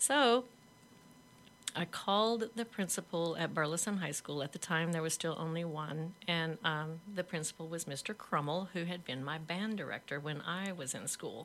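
In a plain, everyday voice, a woman with a fairly low pitch talks at a moderate pace with ordinary pitch variation. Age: 50s. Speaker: author, former teacher. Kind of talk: interview.

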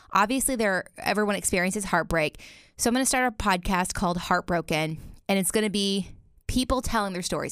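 A woman with a slight Southern US accent at a fairly quick pace, medium pitch and ordinary pitch variation, on a very clean recording with a silent background. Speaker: podcast host. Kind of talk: interview.

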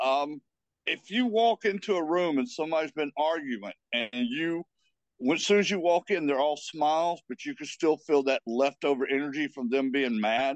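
In a plain, everyday voice, a man talks at a moderate pace with lively intonation. His pitch is fairly high. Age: 50s. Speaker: paranormal investigator and medium. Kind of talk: casual chat.

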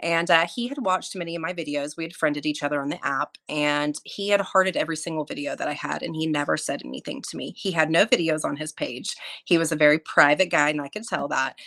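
Very fast with hardly any pauses, a woman with an American accent talks in a very deep, low pitch with ordinary pitch variation. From Oklahoma, small town. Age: 40s. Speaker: ER nurse and military veteran. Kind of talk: casual interview chat.

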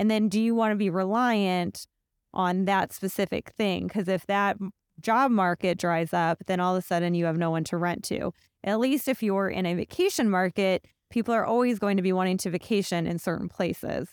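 In an unremarkable speaking voice, a woman talks at a moderate pace and medium pitch with ordinary pitch variation and very even loudness, in a dry, close sound with no echo on a very clean recording with a silent background. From Ohio, US Midwest (Akron). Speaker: real estate podcast co-host. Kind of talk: reading listener questions; casual chat.

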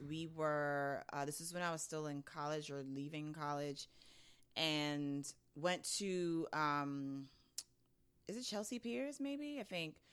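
Speaking very slowly in a New York accent, a woman uses a very deep, low pitch, a bright, sharp tone and ordinary pitch variation. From Brooklyn, New York. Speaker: podcast host. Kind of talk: casual chat.

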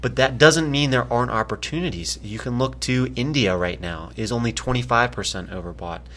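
A man speaks at a moderate pace with lively intonation, vocal fry, and a medium pitch. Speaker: investment analyst. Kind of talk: casual market commentary podcast.

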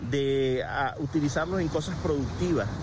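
Noticeable background noise behind a man's moderately paced speech, its pitch varying in an ordinary way. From Venezuela. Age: 40s. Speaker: motivational speaker. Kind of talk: personal reflection monologue. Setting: outdoors at a beach.

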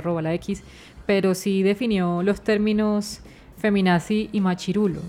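Her intonation stays fairly even. The woman's pitch is medium. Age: 20s. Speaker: journalist and podcast co-host. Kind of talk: casual chat.

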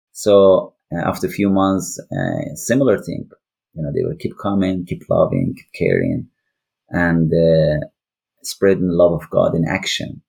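With an Iranian accent, a man speaks fairly slowly in a very deep, low voice that is dark and mellow, with ordinary pitch variation. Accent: Iranian (Persian) accent in English. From northwest Iran. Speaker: ministry founder, refugee worker. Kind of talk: testimony. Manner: halting, frequent fillers.

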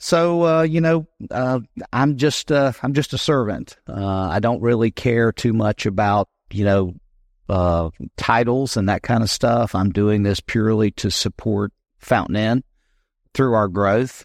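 In a dry, close recording with no echo, a man at medium pitch talks at a very slow pace with very even loudness. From US South (South Carolina). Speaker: city council candidate, war veteran. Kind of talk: interview.

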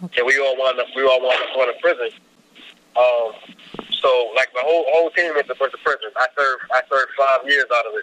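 A man with a New York accent talks at a fairly quick pace and a fairly high pitch, in a dry, close sound with no echo and noticeable background noise. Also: fairly even intonation. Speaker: hip hop artist and magazine publisher. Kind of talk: interview.

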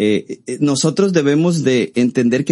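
His tone is dark and mellow. The man's intonation moves in a lively way. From Costa Rica. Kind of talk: interview.

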